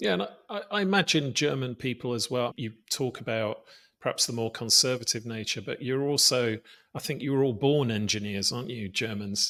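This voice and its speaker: Fairly quick speech from a man with a British accent, medium pitch and ordinary pitch variation, on a very clean recording with a silent background. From British Isles. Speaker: podcast host. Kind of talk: podcast interview.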